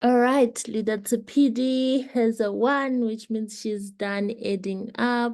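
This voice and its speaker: A woman with a non-native accent speaks very slowly at a fairly high pitch with fairly even intonation, against a quiet background. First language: not English. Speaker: leadership coach. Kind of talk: online class instruction.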